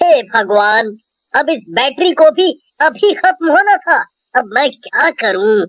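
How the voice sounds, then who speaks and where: In a cartoonish character voice, the speaker moves at a fairly slow pace with very wide pitch swings. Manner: talks to himself aloud.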